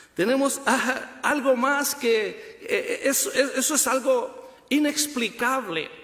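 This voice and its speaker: A man talks at an extremely high pitch, his voice swinging very widely up and down. He goes at a fairly slow pace with hardly any pauses, and the room echo is audible. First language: Spanish. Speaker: pastor. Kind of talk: bilingual sermon. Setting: church funeral service. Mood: earnest, consoling. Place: church. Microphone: podium.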